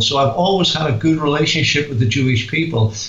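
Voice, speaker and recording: This man, with a Northern Irish accent, talks at a fairly quick pace in a fairly high pitch. His pitch variation is ordinary, and noticeable background noise can be heard. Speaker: author, guest on radio show; former pastor.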